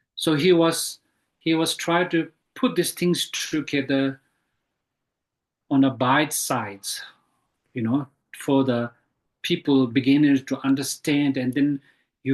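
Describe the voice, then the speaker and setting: A man with a non-native accent speaks at a very slow pace in a fairly high pitch, his intonation fairly even and broken by long, frequent pauses. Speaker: Buddhist teacher. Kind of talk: dharma teaching Q&A. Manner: halting.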